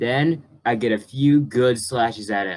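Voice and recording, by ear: This is reading aloud in a natural voice. The pitch varies in an ordinary way.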